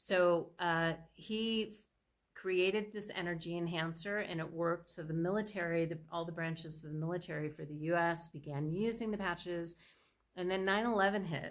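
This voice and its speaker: A woman speaks with an ordinary speaking voice in a fairly low pitch. Her pace is moderate and her intonation fairly even. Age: 60s. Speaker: product presenter. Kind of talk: sales pitch. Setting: screen-shared slide presentation. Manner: casual, with filler words.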